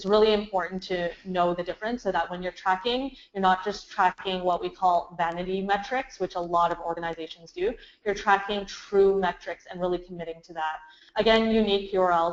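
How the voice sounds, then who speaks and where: A woman at medium pitch, fairly quick, with fairly even intonation and big swings in loudness. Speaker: marketing agency founder presenting webinar. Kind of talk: webinar presentation. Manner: fast.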